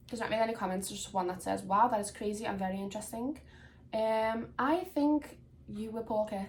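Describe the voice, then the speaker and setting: A woman with a Liverpool accent talks at a fairly quick pace, her somewhat breathy voice pitched fairly high. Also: ordinary pitch variation. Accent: Liverpool (Scouse). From Liverpool, England. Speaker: podcast host, story reader. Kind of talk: casual chat and reading aloud. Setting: home room on camera. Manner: chatty, informal.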